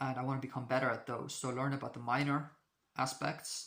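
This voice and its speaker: In a very clean recording with a silent background, a man with a non-native accent speaks at a medium pitch in a monotone, flat delivery. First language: not English. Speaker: astrology video creator. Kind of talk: casual monologue to camera. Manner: halting, many fillers and restarts.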